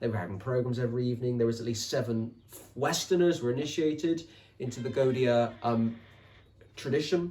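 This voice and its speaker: With a West Country accent, a man speaks in a somewhat breathy voice with lively intonation. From England, Somerset. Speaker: author and podcaster. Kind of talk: interview conversation. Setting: podcast recording.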